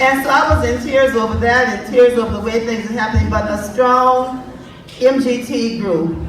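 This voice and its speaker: Amid noticeable background noise and audible room echo, a woman speaks in a high pitch with fairly even intonation. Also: moderate pace. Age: old. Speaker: event organizer. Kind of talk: speech.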